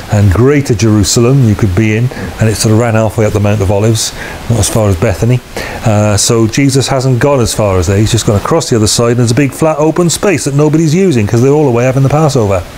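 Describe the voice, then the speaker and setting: Very fast speech at very even loudness, with light background noise. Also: man, ordinary pitch variation. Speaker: preacher. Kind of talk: sermon. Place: home room.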